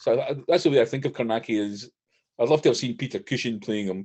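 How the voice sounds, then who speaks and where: A man with a Scottish accent talks at a very fast pace in a medium pitch. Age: 60s. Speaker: horror author. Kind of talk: interview.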